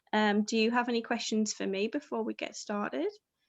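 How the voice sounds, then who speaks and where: With a northeast English accent, the speaker talks at a moderate pace in a dry, close sound with no echo and a quiet background. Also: woman. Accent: northeast English, slightly Scottish-sounding. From northeast England. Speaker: panel host. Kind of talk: casual pre-event chat.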